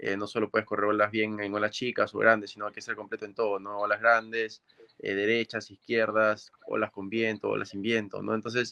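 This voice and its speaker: Fairly low-pitched and flat in intonation, a man speaks at a fairly quick pace with a bright, sharp tone and a dry, close sound with no echo. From Peru, Máncora (northern coast). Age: 20s. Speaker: professional surfer. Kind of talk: remote interview.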